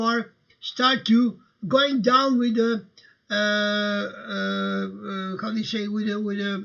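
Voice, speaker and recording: A man is speaking. He has a Croatian accent. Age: 60s. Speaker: livestream host. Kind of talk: casual livestream talk. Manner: halting, many fillers.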